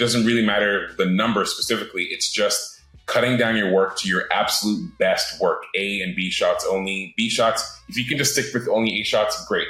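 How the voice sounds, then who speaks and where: A man at a moderate pace, hardly pausing, over noticeable background noise. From Britain, raised in several countries. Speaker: animator. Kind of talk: casual interview. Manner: casual, halting, with fillers.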